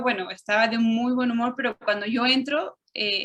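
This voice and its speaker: A fairly high-pitched woman's voice, its intonation fairly flat. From Chile and Mexico (left Chile at 6, raised in Mexico). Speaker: interviewee. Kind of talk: interview.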